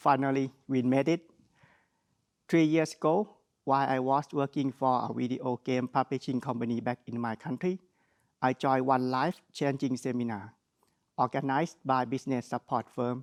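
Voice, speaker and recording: With a strong Thai accent, a man speaks at a medium pitch and moderate pace with fairly even intonation. The sound is dry and close with no echo against a quiet background. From Thailand. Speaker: graduate student speaker. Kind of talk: graduation speech. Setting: graduation ceremony. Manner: formal.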